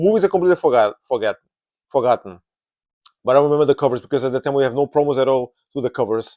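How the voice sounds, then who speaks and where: A dark, mellow tone in a Portuguese accent, with ordinary pitch variation and a dry, close sound with no echo. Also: man. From Portugal. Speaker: movie vlogger. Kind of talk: casual monologue. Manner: halting.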